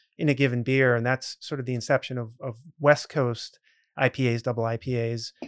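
A man at a medium pitch and a fairly quick pace, in an American accent with monotone, flat intonation, in a very clean recording with a silent background and a dry, close sound with no echo. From central Massachusetts (Grafton, near Worcester). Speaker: brewery owner. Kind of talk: podcast interview.

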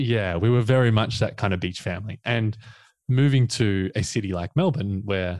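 On a very clean recording with a silent background, a man with an Australian accent speaks at a fairly quick pace with ordinary pitch variation. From Australia, Victoria coast. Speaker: coach. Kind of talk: casual chat.

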